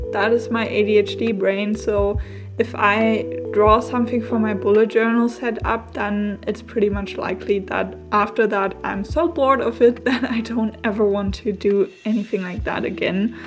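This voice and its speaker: A woman with a German accent at a moderate pace, music in the background. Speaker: bullet journal YouTuber. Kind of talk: voiceover. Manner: casual, with fillers.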